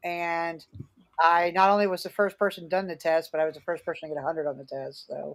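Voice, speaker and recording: Ordinary pitch variation at a fairly quick pace. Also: woman. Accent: American. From Philadelphia area, US. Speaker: Santa performer and online group founder. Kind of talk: podcast interview. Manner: animated; halting.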